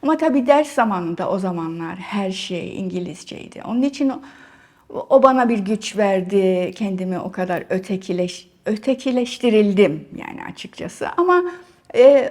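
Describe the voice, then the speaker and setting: A woman speaks fairly slowly, her pitch fairly high and her intonation lively. Her loudness swings widely. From Cyprus, Nicosia. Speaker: writer, artist and academic. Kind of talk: interview. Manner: halting, many fillers.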